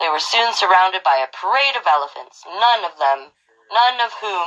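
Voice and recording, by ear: A woman at a moderate pace, her tone fairly bright and her intonation lively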